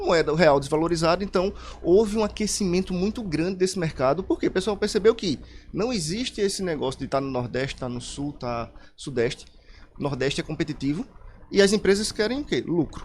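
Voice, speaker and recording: Lively intonation at a fairly quick pace. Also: man, high pitch for a man. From Pernambuco, Brazil. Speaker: computer science specialist. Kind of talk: radio interview.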